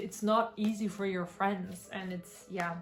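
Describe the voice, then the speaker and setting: With music in the background, a woman speaks fairly slowly at medium pitch in a monotone, flat way. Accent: German. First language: German. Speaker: book reviewer. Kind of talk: book review monologue.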